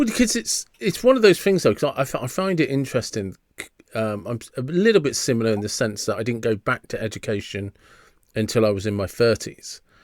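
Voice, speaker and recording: Lively intonation and a fairly quick pace mark this speaker with an English accent. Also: man, medium pitch for a man. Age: 50s. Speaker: podcast host. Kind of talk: podcast interview. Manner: hesitant, restarts sentences.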